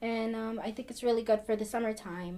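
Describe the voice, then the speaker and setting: A woman with an American accent speaks in a dark, mellow tone at a fairly high pitch with ordinary pitch variation. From New Jersey (New Brunswick). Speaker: community health program coordinator. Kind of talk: pre-recorded video segment, cooking demonstration.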